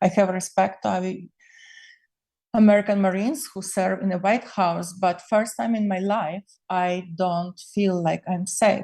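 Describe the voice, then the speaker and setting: Against a quiet background, the speaker talks fairly slowly in a somewhat breathy, dark, mellow tone with fairly even intonation. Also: woman, medium pitch for a woman. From Ukraine (Soviet era). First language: Ukrainian or Russian. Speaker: political commentator. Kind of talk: personal political monologue video stream. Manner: emotional.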